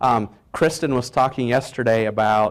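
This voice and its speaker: On a very clean recording with a silent background, a man speaks with a Portuguese accent. His pitch is medium and his intonation fairly even. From Brazil, moved to New York City at 14. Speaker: business mentor. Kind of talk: motivational talk. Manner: conversational.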